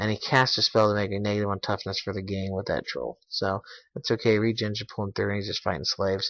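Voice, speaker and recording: Very fast speech comes from a man at fairly low pitch. His intonation is monotone and flat. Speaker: tabletop wargame hobbyist. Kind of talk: battle report narration. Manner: halting, many fillers and self-corrections; casual.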